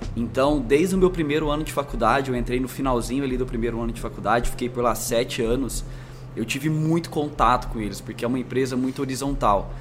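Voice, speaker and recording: Over noticeable background noise, a man with a slight São Paulo accent talks at a very fast pace. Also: medium pitch for a man, ordinary pitch variation. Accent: slight São Paulo interior rolled R. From interior of São Paulo state (Franca). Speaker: marketing executive. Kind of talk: interview.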